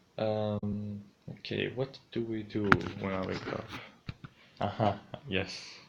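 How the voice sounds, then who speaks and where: Amid noticeable background noise, the speaker moves at a very slow pace in monotone, flat intonation with long, frequent pauses. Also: man, fairly low pitch for a man. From Greece. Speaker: streamer. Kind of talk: casual vlog narration. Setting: home, in his room.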